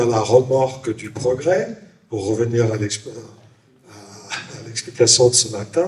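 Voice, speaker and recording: A man talks over noticeable background noise. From Switzerland, Valais. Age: 70s. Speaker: author. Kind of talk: panel discussion.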